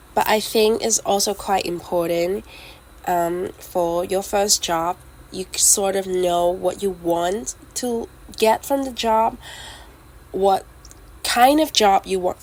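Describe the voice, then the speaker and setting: A woman at a very slow pace, with long, frequent pauses and ordinary pitch variation. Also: medium pitch for a woman. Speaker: graphic designer. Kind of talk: casual talk to camera.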